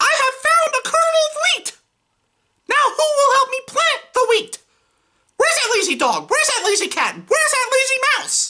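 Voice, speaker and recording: Extremely high in pitch, the voice is a put-on character voice. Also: moderate pace. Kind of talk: audiobook-style story reading with character voices.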